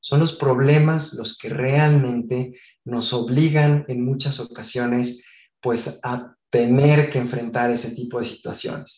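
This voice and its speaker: In a monotone with flat intonation, a man speaks very slowly at a medium pitch with a somewhat breathy voice. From Mexico, Guadalajara. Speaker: architect. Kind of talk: interview. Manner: hesitant fillers.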